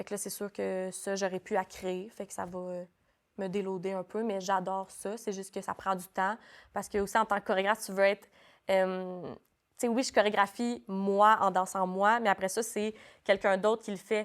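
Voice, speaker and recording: In a very clean recording with a silent background, a woman speaks at a medium pitch in a flat monotone. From New Brunswick, Canada. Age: 20s. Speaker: dance school director. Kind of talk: casual interview. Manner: fast.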